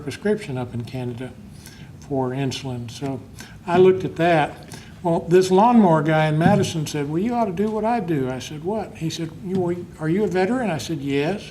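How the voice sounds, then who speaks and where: Amid noticeable background noise and audible room echo, a man with a fairly high pitch speaks at a moderate pace with lively intonation. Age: 60s. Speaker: laid-off software engineer and veteran. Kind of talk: personal testimony. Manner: halting.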